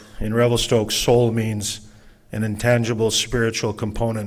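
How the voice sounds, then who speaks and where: A normal speaking voice with a Canadian accent at a moderate pace. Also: man. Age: 60s. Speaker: event moderator, city staff member. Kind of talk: public meeting moderation. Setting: live public open house with audience. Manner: informal, conversational.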